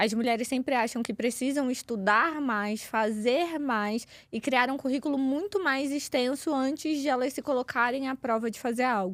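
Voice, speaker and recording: In a very clean recording with a silent background, a woman with a high pitch talks at a moderate pace with ordinary pitch variation and hardly any pauses. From Rio de Janeiro, Brazil. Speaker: communication and public speaking coach. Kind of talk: podcast interview.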